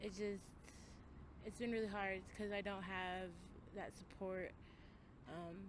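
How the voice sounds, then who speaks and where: A woman with an American accent speaks in a monotone, flat way at a fairly slow pace, with long, frequent pauses and audible room echo. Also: medium pitch for a woman. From Colorado. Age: young. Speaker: person experiencing homelessness. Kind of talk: interview. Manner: halting.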